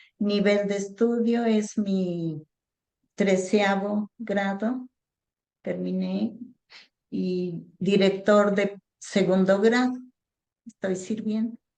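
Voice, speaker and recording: Very slow, flat, monotone speech with a dark, mellow tone and long, frequent pauses. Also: woman, medium pitch for a woman. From Mexico, Valle de Bravo. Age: 70s. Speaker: parish lay minister. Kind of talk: radio interview.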